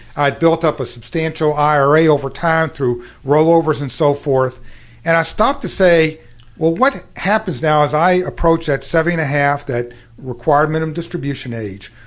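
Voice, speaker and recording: An unremarkable speaking voice from a man with an American accent, fairly high in pitch, with ordinary pitch variation at a moderate pace. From Kentucky, US South. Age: 60s. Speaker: actuary and financial company founder. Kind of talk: radio interview.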